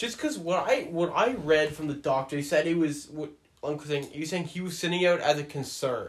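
There is an unremarkable speaking voice here, a man's, in a Canadian accent. He talks at a fairly quick pace with a fairly high pitch and ordinary pitch variation. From Ontario, Canada. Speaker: hockey podcast host. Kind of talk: casual chat.

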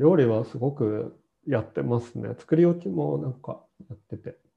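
A man's medium-pitched voice with big swings in loudness. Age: 30s. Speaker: podcast host. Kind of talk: casual chat. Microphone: no microphone, hard to hear.

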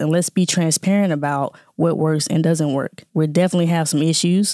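Fairly quick and fairly even in intonation, a woman talks with a Southern US accent. Her pitch is very deep and low. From Jackson, Mississippi. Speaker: scientist and nonprofit founder. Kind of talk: interview conversation.

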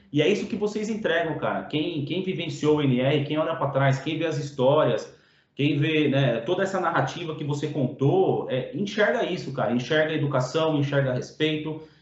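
Over noticeable background noise and audible room echo, a man at a fairly high pitch talks at a moderate pace with ordinary pitch variation and hardly any pauses. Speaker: podcast host. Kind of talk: podcast interview. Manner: casual, slangy.

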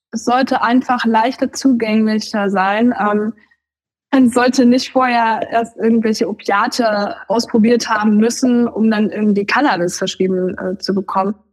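Her voice somewhat breathy and fairly high, a woman speaks at a moderate pace with fairly even intonation. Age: 20s. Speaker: cannabis patient. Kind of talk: interview.

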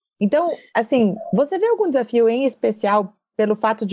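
This woman has a dark, mellow tone and moves through very wide pitch swings at a moderate pace. The sound is dry and close, with no echo. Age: 40s. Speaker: podcast host, journalist and executive. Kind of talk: interview.

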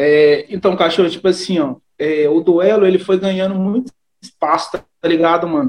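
Moderate pace and fairly even intonation from a man with a high pitch. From Brazil, Belo Horizonte (Aglomerado da Serra). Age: 30s. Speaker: freestyle rap battle MC. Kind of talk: casual interview chat.

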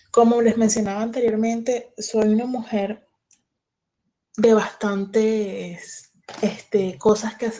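A dark, mellow tone, very slow and monotone, with flat intonation. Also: woman. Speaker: businesswoman. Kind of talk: panel talk.

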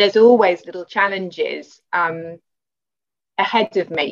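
With a British accent, a woman speaks at a fairly slow pace using ordinary pitch variation. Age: 40s. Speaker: artist and movement client. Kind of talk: interview.

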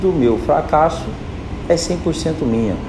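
Audible room echo and noticeable background noise surround a man's voice. He talks at a fairly slow pace with ordinary pitch variation. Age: 20s. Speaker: podcast host, call center supervisor. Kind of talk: motivational monologue. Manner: informal, direct.

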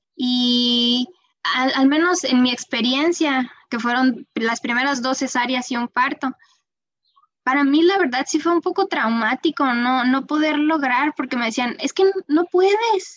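In a dry, close sound with no echo, a woman speaks fairly slowly at a high pitch with ordinary pitch variation. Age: 30s. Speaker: real estate agent and mother. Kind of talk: casual interview.

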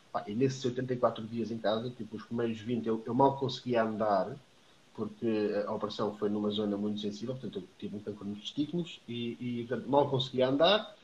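With ordinary pitch variation and a moderate pace, the speaker sounds somewhat breathy. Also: man, medium pitch for a man. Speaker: trainer and public speaker. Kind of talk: casual interview. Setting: Instagram live video stream.

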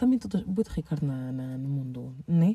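A woman speaks with lively intonation. Her voice is somewhat breathy, with a dark, mellow tone. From Portugal, Lisbon. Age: 20s. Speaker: podcast host, master's student. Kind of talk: casual personal monologue. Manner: rambling with fillers.

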